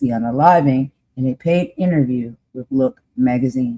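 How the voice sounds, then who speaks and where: This woman's voice is very deep and low, with a dark, mellow tone and ordinary pitch variation. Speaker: live stream host. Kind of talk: live stream history presentation. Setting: live stream. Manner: casual, colloquial asides.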